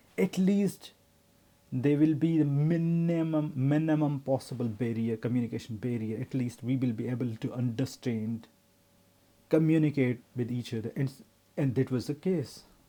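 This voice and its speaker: A man speaks with a non-native accent in a dark, mellow tone. His pitch is medium, with ordinary variation, at a moderate pace. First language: not English. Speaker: vlogger, working professional. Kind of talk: personal vlog monologue. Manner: halting, with self-corrections.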